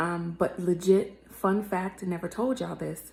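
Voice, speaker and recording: Against noticeable background noise, a woman speaks quietly at a moderate pace, her medium pitch following a fairly even intonation. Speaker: singer vlogging about her music. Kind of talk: casual vlog story time. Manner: talking quietly.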